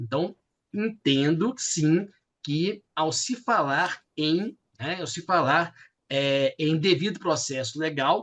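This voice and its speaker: A man talks at a very slow pace in a Minas Gerais accent. His fairly high voice has lively intonation. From Minas Gerais, Brazil. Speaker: law professor, thesis examiner. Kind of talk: academic thesis examination. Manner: hesitant, many fillers.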